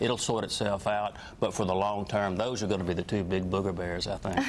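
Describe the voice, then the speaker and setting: Here a man talks at a fairly quick pace. His pitch is fairly low. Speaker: financial advisor. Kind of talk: TV interview. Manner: halting.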